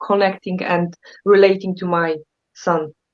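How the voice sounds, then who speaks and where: This woman speaks with a Polish accent. Her pace is moderate. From Poland. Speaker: therapist. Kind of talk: casual chat. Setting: live stream.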